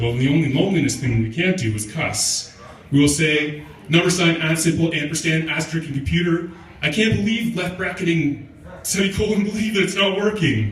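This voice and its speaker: There is noticeable background noise. Through it, a man speaks fairly quickly. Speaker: spoken word poet. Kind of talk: comic spoken word performance. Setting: live open mic venue.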